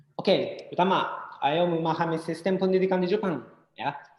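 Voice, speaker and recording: The speaker has a Japanese accent. The pace is fairly quick. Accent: Japanese accent in Indonesian. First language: Japanese (speaking Indonesian). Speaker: education company presenter. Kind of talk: webinar presentation. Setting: online webinar. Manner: halting, many fillers.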